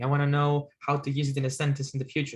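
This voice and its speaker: Somewhat breathy and fairly high-pitched, a man talks at a fairly quick pace. He has a Greek accent. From Greece. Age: 30s. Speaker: guest note-taking enthusiast. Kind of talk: casual video call conversation. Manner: halting, many hesitations.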